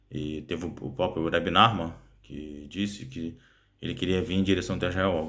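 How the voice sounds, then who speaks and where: A man talks at a moderate pace with ordinary pitch variation, and audible room echo surrounds his voice. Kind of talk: casual explainer monologue. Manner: halting, many fillers.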